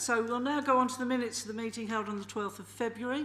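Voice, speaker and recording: A woman talks with audible echo from the room around her. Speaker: committee chair. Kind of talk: council meeting chairing. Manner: loud.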